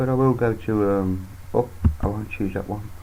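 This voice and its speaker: A man with a dark, mellow tone and a somewhat breathy voice talks at a moderate pace. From United Kingdom. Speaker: Linux youtuber. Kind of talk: screen-recorded tutorial. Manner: casual, halting with fillers.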